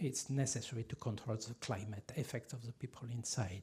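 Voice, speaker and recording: A man speaks with a French accent and lively intonation. His tone is dark and mellow, and somewhat breathy. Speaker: archaeologist. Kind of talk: lecture. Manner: halting, many fillers and restarts.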